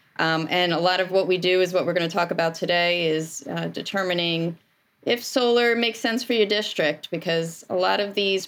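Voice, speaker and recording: A woman with a medium pitch speaks at a moderate pace, hardly pausing. Hers is an unremarkable speaking voice with ordinary pitch variation. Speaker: energy company owner and energy savings engineer. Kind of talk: professional interview.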